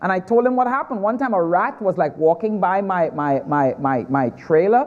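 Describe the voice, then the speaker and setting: A man with a Trinidadian accent speaks at a moderate pace. His high voice makes very wide pitch swings. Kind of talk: stand-up.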